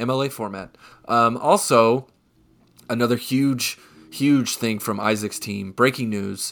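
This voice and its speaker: At a fairly slow pace with long, frequent pauses, a man speaks in an animated tone at a medium pitch on a very clean recording with a silent background. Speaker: podcast co-host. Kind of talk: casual banter, fantasy football talk. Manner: animated, jokey.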